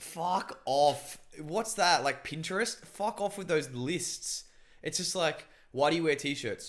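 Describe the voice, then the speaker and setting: Loud and very slow, a man with a high pitch and ordinary pitch variation speaks on a very clean recording with a silent background. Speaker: podcast host. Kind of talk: casual chat. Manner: intense.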